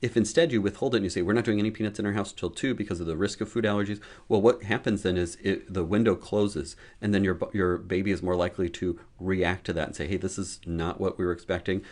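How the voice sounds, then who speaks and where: A man talks at a very fast pace in a fairly low pitch. His pitch varies in an ordinary way against a quiet background. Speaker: pediatrician. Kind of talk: educational talk to camera. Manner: casual, conversational.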